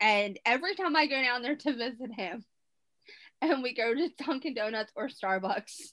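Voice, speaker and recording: With a strong Baltimore accent, a woman speaks at a moderate pace in a high pitch with lively intonation. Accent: thick Baltimore. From Baltimore, Maryland. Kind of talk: casual chat.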